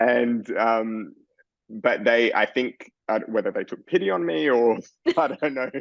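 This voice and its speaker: Speaking in an Australian accent, a man keeps a fairly slow pace. His medium pitch shows ordinary variation. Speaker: fashion designer. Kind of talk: interview.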